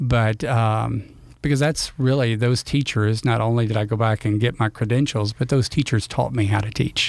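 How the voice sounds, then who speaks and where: This man speaks in a Louisiana accent at a medium pitch and moderate pace. His intonation is fairly even and his loudness very even. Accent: Louisiana Southern US. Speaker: retired school principal. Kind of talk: casual interview chat. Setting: studio.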